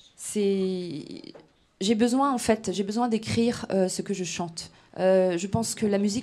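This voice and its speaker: In a very clean recording with a silent background, a woman with a Breton accent speaks in a dark, mellow, medium-pitched voice with fairly even intonation. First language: Breton (speaking French). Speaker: singer-songwriter. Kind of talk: radio interview. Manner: hesitant, many fillers.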